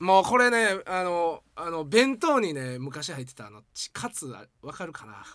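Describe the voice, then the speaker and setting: On a very clean recording with a silent background, a man with a Kansai accent speaks at a moderate pace in a fairly high voice, with very wide pitch swings and big swings in loudness. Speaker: podcast co-host. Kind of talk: casual chat.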